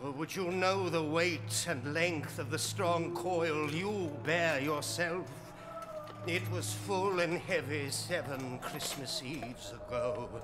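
A put-on character voice moves at a fairly slow pace. Loud background noise fills the clip. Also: man, fairly high pitch for a man. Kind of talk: ghostly radio drama acting. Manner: mournful, solemn, doom-laden.

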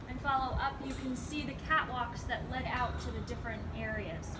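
A woman keeps a moderate pace despite loud background noise. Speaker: tour guide. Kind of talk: guided tour talk. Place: open country. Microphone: camera far.

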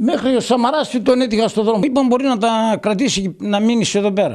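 Extremely high-pitched, a man talks at a fairly quick pace. Behind him the background is quiet. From Greece. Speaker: village barber. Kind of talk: interview. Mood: emotional, defiant about shop. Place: shop. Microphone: handheld.

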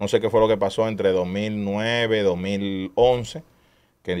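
A man speaks with a Dominican accent at a fairly low pitch. His ordinary pitch variation comes through against a quiet background. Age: 30s. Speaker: street racing event organizer. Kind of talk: casual chat. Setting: studio.

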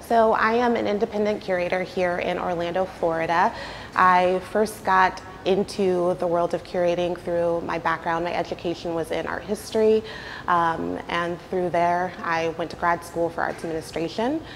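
Over faint background music, a woman with an American accent speaks at a moderate pace, her pitch fairly low and her intonation fairly even. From US South. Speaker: art curator. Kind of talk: interview on gallery tour. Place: hall. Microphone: lapel.

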